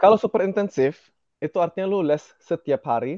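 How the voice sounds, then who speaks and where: A man talks with very wide swings in pitch. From Indonesia, partly raised in Germany. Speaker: radiology resident doctor. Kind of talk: casual interview chat.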